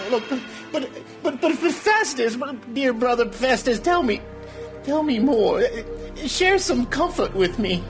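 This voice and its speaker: Clear music plays in the background. A man speaks in a put-on character voice at a fairly slow pace. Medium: audio drama. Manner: stammering, nervous.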